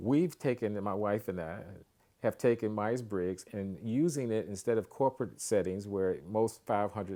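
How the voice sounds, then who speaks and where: A man's fairly low, dark, mellow voice at a moderate pace, on a very clean recording with a silent background. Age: 70s. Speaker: relationship coach. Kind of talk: promotional talk.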